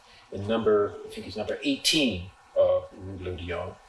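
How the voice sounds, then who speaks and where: A man talks with an American accent. Noticeable background noise is present. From Illinois, USA. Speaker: poet. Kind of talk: storytelling talk to a small audience. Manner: playful.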